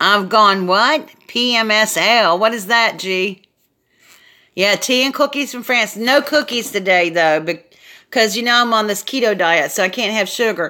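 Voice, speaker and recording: In a very clean recording with a silent background, a woman with a Southern US accent speaks loudly at a fairly slow pace, her fairly high voice bright, sharp and animated, with ordinary pitch variation. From US South, South Carolina. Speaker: craft YouTuber. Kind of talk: casual live stream chat. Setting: live video stream.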